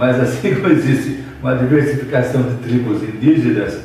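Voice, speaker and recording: A man with a medium-pitched voice is speaking. There is audible room echo and noticeable background noise. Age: 70s. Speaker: bishop. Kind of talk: interview. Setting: student video interview.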